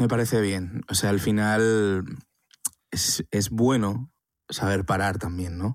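A man speaks at a very slow pace in a fairly low pitch, with long, frequent pauses. The recording is very clean, with a silent background. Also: fairly even intonation, dry, close sound with no echo. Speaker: podcast co-host, documentary filmmaker. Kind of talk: casual chat.

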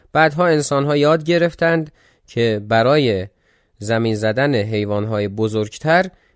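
With lively intonation, a man talks at medium pitch and a moderate pace. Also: very clean recording, silent background. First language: not Persian; Persian is second language (speaking Persian). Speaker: history podcaster. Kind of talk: casual chat about listener comments; scripted narration.

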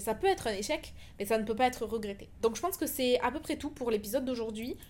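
Very fast speech from a woman with a fairly high pitch and ordinary pitch variation. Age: 20s. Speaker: podcast host. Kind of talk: personal monologue. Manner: casual with fillers.

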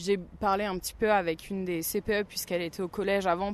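Against a quiet background, a woman with vocal fry talks at a medium pitch with fairly even intonation. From Burgundy, France. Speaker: new teacher. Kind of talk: interview.

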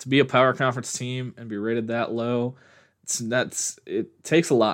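Recorded very cleanly over a silent background, a man with an American accent speaks at a medium pitch and moderate pace in a plain, everyday voice. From Nebraska, Omaha. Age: 20s. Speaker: sports podcaster. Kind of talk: solo podcast commentary. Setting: solo recording at a microphone. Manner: casual, with frequent fillers.

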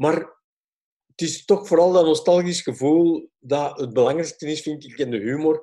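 A man's fairly high-pitched voice with a dark, mellow tone and a Flemish accent, fairly slow in pace and fairly even in intonation. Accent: Flemish Dutch. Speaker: film and tv director. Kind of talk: interview. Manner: halting.

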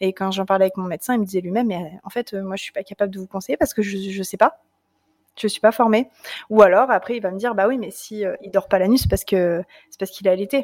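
Ordinary pitch variation marks a woman's very fast speech. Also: medium pitch for a woman, big swings in loudness. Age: 20s. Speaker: Instagram creator on breastfeeding. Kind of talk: casual chat.

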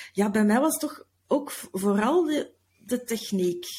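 A woman speaks very slowly in a somewhat breathy, dark, mellow tone. Her pitch is fairly high. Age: 40s. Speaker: podcast manager. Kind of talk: casual interview. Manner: halting.

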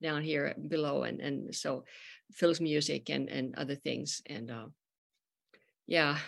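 A woman speaks with a Finnish accent and ordinary pitch variation. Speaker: podcast host and musician. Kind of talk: casual chat. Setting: video call.

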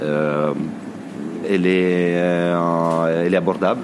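Speaking with an Italian accent, a man has a very deep, low pitch and fairly even intonation, with audible room echo and noticeable background noise. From northern Italy, Varese in Lombardy. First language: Italian (speaking French). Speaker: grocery shop owner. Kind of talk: interview.

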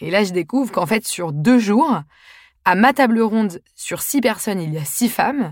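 A woman speaks at medium pitch and a moderate pace, with very wide pitch swings. The recording is very clean, with a silent background. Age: 20s. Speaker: podcast host and author. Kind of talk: scripted monologue.

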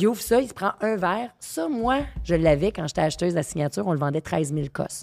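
Speaking with a Quebec accent, a woman has a fairly low pitch and an animated tone. She moves at a fairly quick pace with lively intonation. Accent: Québécois French. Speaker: sommelier. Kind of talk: casual chat.

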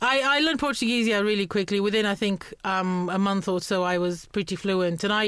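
With a Romanian accent, a woman talks at a very fast pace in a medium pitch with ordinary pitch variation, on a very clean recording with a silent background. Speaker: communication skills trainer. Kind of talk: interview.

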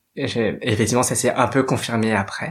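A man talks at a medium pitch, his intonation staying fairly even. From Paris, France. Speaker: drag queen and activist. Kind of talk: personal testimony monologue.

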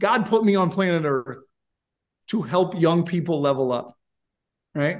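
In a New York State accent, a man with a high pitch speaks at a fairly slow pace with an animated tone, lively intonation and long, frequent pauses. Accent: American, New York State. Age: 40s. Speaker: software company founder. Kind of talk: interview.

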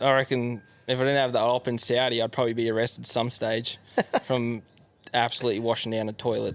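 A man with an Australian accent talks very fast at a medium pitch. His intonation is monotone and flat, his loudness very even. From Australia, Yarra Valley east of Melbourne. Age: 20s. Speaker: pro enduro motorbike rider. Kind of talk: casual chat.

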